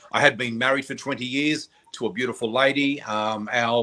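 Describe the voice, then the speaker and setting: A man speaks at a medium pitch. His tone is bright and sharp, with fairly even intonation. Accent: Australian. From Australia, New South Wales. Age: 60s. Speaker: psychic. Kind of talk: interview storytelling.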